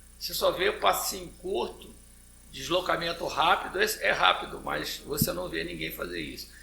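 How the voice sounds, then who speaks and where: Moderate-paced male speech amid noticeable background noise, plus audible echo from the room. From Rio de Janeiro, Brazil. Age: 70s. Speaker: football coach and fitness trainer. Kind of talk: interview podcast.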